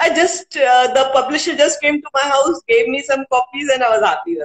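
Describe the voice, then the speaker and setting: A high-pitched woman with an Indian accent and lively intonation, her sound dry and close with no echo. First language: Hindi. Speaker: poet and author, civil servant. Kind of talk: interview. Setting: live video stream. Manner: hesitant, many fillers.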